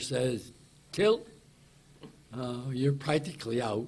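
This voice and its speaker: A man talks in a mid-range pitch with a somewhat breathy quality and typical pitch movement. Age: 80s+. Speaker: wilderness survivor. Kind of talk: news conference answer.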